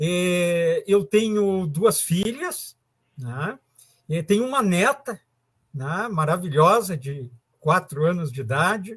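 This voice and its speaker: Intonation is lively while the pace stays very slow. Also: man, high pitch for a man. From southern Brazil, rural Arroio Grande. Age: 50s. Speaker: technical school teacher. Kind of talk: casual interview.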